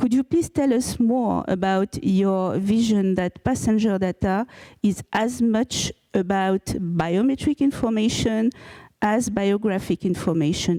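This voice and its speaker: At a fairly slow pace, a woman of medium pitch speaks with a dark, mellow tone and very even loudness in a dry, close sound with no echo. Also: ordinary pitch variation, very clean recording, silent background. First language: French. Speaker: panel moderator. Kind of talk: panel discussion. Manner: halting, many fillers.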